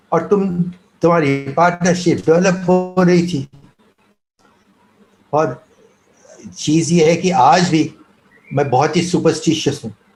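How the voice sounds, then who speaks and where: With music in the background, a high-pitched man talks with fairly even intonation and long, frequent pauses. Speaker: former cricket team manager. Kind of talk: interview answer, anecdote. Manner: soft-spoken.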